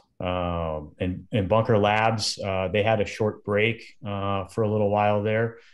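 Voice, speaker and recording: Over a quiet background, a man speaks. His intonation is fairly even. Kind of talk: interview answer. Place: home room. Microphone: video call.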